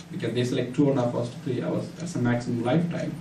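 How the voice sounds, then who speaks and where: A man talks with ordinary pitch variation. Noticeable background noise and audible room echo surround his voice. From India (Tamil-speaking). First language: Tamil. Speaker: church member giving testimony. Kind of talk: testimony. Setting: church. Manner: halting, many fillers.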